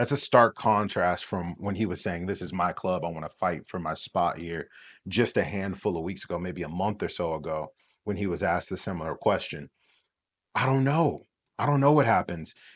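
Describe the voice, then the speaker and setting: Set against a quiet background, a man with a very deep, low pitch speaks at a moderate pace with lively intonation. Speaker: football content creator. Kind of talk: casual commentary monologue. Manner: halting, with stutters and fillers.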